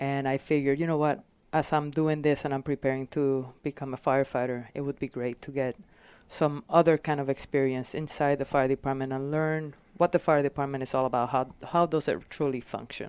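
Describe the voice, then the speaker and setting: The speech carries a slight Puerto Rican accent. The sound is dry and close with no echo, on a very clean recording with a silent background. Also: woman, very deep, low pitch for a woman. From Puerto Rico. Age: 40s. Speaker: fire captain. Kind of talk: casual interview. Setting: podcast. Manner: halting, many fillers.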